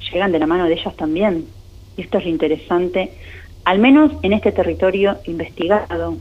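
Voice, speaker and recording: Vocal fry runs through this woman's medium-pitched voice. She talks at a fairly quick pace with ordinary pitch variation. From Argentina, Greater Buenos Aires (Berazategui). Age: 40s. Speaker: tourism and gastronomy researcher and lecturer. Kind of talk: interview.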